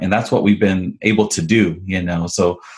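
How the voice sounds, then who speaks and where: This is a plain, everyday voice at a moderate pace, with ordinary pitch variation. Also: man. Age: 40s. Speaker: entrepreneur, coffee brand and restaurant franchise owner. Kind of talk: interview.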